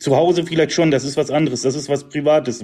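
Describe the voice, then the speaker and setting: The man's voice is fairly high in pitch with a dark, mellow tone. He speaks at a very fast pace. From Emsland, northern Germany. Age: 30s. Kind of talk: debate.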